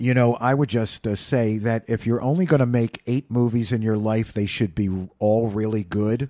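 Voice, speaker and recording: A man with a normal speaking voice talks at a moderate pace and medium pitch, his loudness very even, in a dry, close sound with no echo. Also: fairly even intonation. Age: 50s. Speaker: community radio host. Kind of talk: casual radio interview.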